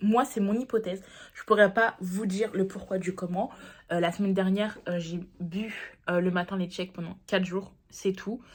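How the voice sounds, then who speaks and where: The voice is somewhat breathy and moves at a moderate pace with fairly even intonation. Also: woman, medium pitch for a woman. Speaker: diet vlogger. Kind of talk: casual vlog talk to camera.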